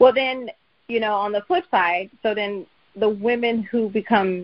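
A woman with an unremarkable speaking voice keeps to a medium pitch, an ordinary range of pitch movement and a moderate pace. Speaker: podcast host. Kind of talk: interview conversation.

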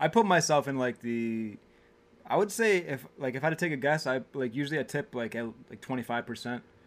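Talking at a fairly quick pace, a man uses a medium pitch and lively intonation. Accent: northern US. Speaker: podcast co-host. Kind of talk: casual chat while drinking. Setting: home recording on camera.

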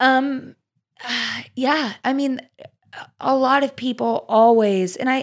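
The woman's pitch sits fairly high. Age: 20s. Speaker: secondhand fashion business owner. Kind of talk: casual interview chat. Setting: studio.

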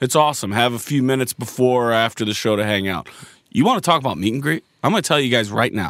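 At a very fast clip, this man keeps his voice at a medium pitch. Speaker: podcast host. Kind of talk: casual comedic banter.

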